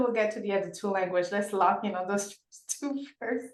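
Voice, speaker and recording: A woman with a French accent speaks at a fairly quick pace. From Senegal. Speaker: podcast host. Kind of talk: interview. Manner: animated.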